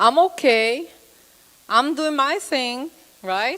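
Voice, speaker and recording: A woman speaks at a very slow pace in a Brazilian accent. Her pitch swings very widely. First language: Portuguese. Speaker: psychotherapist. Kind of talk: lecture.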